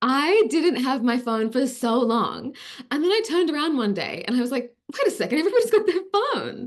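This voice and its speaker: In an Australian accent, a woman talks at a fairly quick pace in a high voice. Her pitch swings very widely and her tone is animated. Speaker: actress. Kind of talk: interview.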